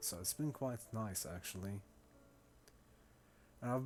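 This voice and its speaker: A man speaks with a slight German accent on a very clean recording with a silent background. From Syria. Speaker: video game streamer. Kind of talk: casual chat.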